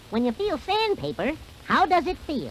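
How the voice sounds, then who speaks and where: This is a put-on character voice, squeaky and high-pitched, at a moderate pace. Clear background noise runs underneath. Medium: read story.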